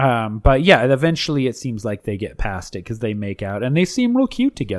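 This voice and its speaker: In a very clean recording with a silent background, a man speaks at medium pitch with lively intonation. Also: fairly quick pace, hardly any pauses. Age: 40s. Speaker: podcast co-host recapping reality TV; teacher. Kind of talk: casual chat. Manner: animated.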